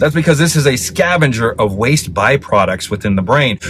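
A man talks at a fairly quick pace. The sound is dry with no echo, and there's light background noise. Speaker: supplement reviewer. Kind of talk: product review explanation. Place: car. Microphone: phone near.

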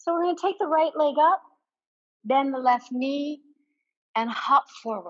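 An energetic tone and lively intonation at a fairly slow pace, with long, frequent pauses over a quiet background. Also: woman, high pitch for a woman. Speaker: yoga instructor. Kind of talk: guided yoga class, cueing poses and breath. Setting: online yoga class video. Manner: brisk, clear, directive cues, energetic; calm and encouraging. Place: home room.

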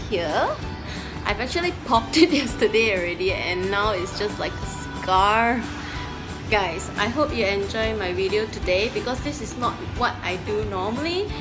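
With clear music playing behind her, a woman talks fairly slowly. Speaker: fitness vlogger. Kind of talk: casual vlog chat. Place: gym. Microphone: phone near.

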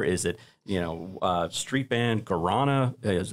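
In an ordinary speaking voice, a man talks at a fairly low pitch with ordinary pitch variation. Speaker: racing stable manager and accountant. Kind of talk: casual panel discussion. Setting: studio. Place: studio. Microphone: studio mic.

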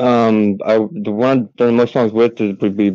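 A man speaks at a fairly low pitch in a monotone, flat intonation. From Yakima, Washington, US. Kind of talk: interview answers. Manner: halting.

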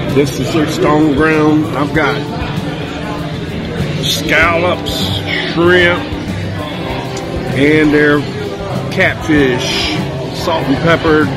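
A man at a very slow pace with long, frequent pauses over loud music in the background. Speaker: food reviewer narrating. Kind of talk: casual vlog chat. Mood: cheerful, pleased. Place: cafe. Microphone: phone near.

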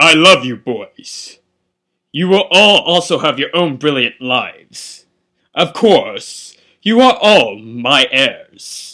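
A man with a high pitch talks at a very slow pace, his pitch swinging very widely. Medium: fan dub. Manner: pompous, lecturing, then stern.

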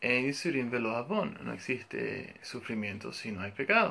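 The tone is bright and sharp. It comes from a man. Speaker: religious teacher. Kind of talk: lecture. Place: home room. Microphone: phone near.

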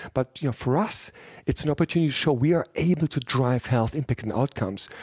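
A man at a fairly quick pace with ordinary pitch variation, in a dry, close sound with no echo. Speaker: pharma executive. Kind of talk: interview. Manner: passionate, energetic.

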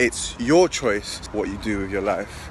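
The speech comes at a moderate pace, the sound dry with no echo, with noticeable background noise. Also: man. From London. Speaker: professional boxer vlogger. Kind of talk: casual vlog narration. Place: street. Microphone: phone near.

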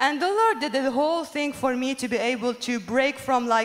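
A high-pitched woman's voice with a Lebanese accent, at a fairly quick pace. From Lebanon. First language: Arabic. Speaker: musician. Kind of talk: testimony. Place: stage. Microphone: handheld.

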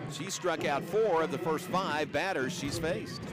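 Amid noticeable background noise, a man speaks in a raised, projected voice. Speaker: sports commentator. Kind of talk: live play-by-play sports commentary in a highlight reel. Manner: emphatic on strikeouts and home runs.

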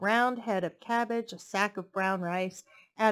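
The voice reads in a natural way.

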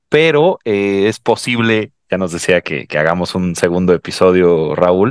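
A man with a Mexican accent talks at a fairly slow pace in a very deep, low pitch. The sound is dry with no echo, and the background is quiet. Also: ordinary pitch variation. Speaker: podcast host. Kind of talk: interview. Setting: video call. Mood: cheerful, laughing. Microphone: headset.

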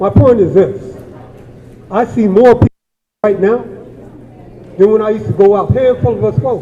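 Speaking with an American accent, a man with a high pitch uses very wide pitch swings at a moderate pace with long, frequent pauses. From Watts, Los Angeles, California. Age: 60s. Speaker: community member, activist. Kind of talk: public comment at town hall. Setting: community town hall meeting.

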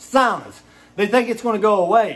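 At a moderate pace, a man with an American accent speaks in a high pitch. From Eastern Kentucky (Hazard). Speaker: video blogger. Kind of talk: angry rant to camera. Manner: animated. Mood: indignant, angry. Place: home room. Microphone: phone near.

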